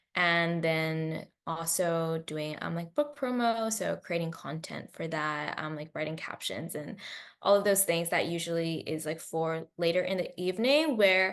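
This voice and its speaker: A woman with an American accent has an ordinary speaking voice, a fairly low pitch and ordinary pitch variation. She talks at a fairly slow pace with hardly any pauses, over a quiet background. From China and Australia. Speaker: novelist. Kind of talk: interview. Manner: casual with many fillers.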